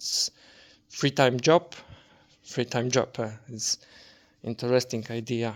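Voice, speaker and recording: A man with a non-native accent speaks very slowly, leaving long, frequent pauses. His medium-pitched voice keeps a fairly even intonation, and the sound is dry and close with no echo. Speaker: hobby woodworker. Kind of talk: casual workshop vlog talk. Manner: halting, many fillers and repetitions.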